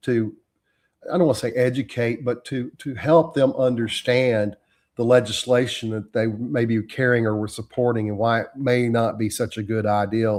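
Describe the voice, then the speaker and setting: Speaking at a moderate pace with a Texan accent, a man with a medium pitch keeps his intonation fairly even in a very clean recording with a silent background. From Texas. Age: 60s. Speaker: trial lawyer. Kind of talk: interview conversation.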